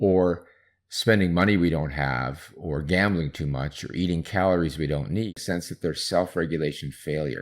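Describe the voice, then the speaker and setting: A man's very deep, low voice with vocal fry and ordinary pitch variation, on a very clean recording with a silent background. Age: 60s. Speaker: psychologist researching procrastination. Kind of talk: interview.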